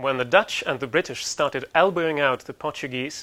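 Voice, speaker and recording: A man with a Russian accent speaks at a fairly quick pace in a bright, sharp tone at medium pitch with ordinary pitch variation. The recording is very clean, with a silent background. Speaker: university lecturer. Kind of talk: lecture.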